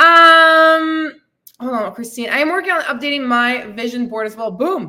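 A woman projects a raised voice at a high pitch. Her tone is bright and sharp. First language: not English. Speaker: fitness and weight loss coach, podcast host. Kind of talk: live-streamed podcast monologue with audience comments. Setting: live stream. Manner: animated.

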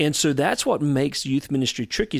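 In a Southern US accent, a man speaks at a medium pitch and a fairly quick pace. The recording is very clean, with a silent background. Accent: US South. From North Carolina. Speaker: youth ministry leader. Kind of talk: interview. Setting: on location in a historic theater.

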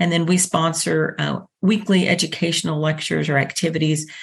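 A woman with a Texan accent at a moderate pace, her pitch varying in an ordinary way. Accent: Texan American. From Texas, Dallas. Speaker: internship program coordinator. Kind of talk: interview.

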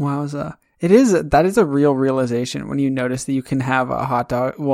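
Over a quiet background, a natural reading voice with ordinary pitch variation

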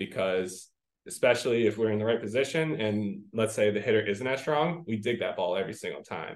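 With an American accent, a man speaks at a fairly quick pace and a medium pitch, with ordinary pitch variation. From New Jersey. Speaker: high school volleyball coach. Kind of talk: casual interview.

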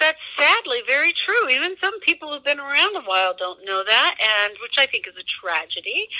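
A raised, projected voice with an American accent, at a moderate pace with hardly any pauses and very wide pitch swings, in a dry, close sound with no echo and noticeable background noise. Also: woman, high pitch for a woman. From US Midwest. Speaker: zoo director. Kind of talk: interview.

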